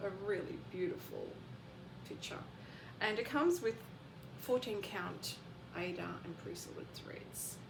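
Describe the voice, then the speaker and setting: A woman with a fairly high pitch talks at a fairly slow pace, leaving long, frequent pauses with very wide pitch swings and big swings in loudness. Audible room echo and noticeable background noise fill the recording. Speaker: craft vlogger. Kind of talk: casual show-and-tell vlog. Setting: bedroom at home. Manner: quiet, keeping voice down.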